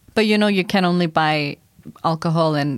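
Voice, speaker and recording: Recorded very cleanly against a silent background, a woman speaks in an animated tone. Her pace is moderate and her pitch variation ordinary. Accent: Icelandic. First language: Icelandic. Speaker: project manager, Icelandic local guest. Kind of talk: casual chat. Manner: animated, laughs often.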